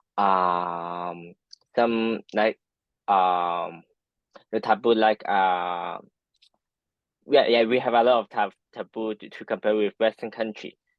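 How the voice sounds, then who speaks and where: Very slowly and with long, frequent pauses, a man with a Hong Kong accent speaks at a fairly low pitch, his intonation fairly even and his loudness swinging widely. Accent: Hong Kong Cantonese-accented English. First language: Cantonese. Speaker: architecture and design professional. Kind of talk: interview. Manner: halting, many fillers.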